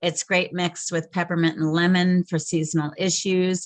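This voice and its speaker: At a moderate pace, a woman talks in a fairly low pitch. Her intonation is monotone and flat, with a quiet background. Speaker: essential oils user sharing stories. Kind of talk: online product class. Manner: loud.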